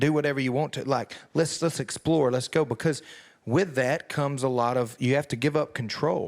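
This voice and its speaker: With a rural Southern US accent, a man speaks in a fairly high voice with ordinary pitch variation. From US South. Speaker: country singer. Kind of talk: interview. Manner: hesitant, repeats words.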